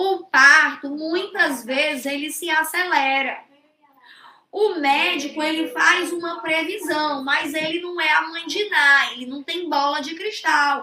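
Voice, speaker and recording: A woman's raised, projected, high-pitched voice with a bright, sharp tone, fairly even intonation, big swings in loudness and a very slow pace. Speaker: social security law teacher. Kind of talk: online lecture. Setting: live stream.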